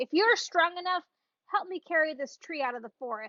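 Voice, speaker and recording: Using a put-on character voice, a woman pitches it extremely high. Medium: read story. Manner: gruff, scornful.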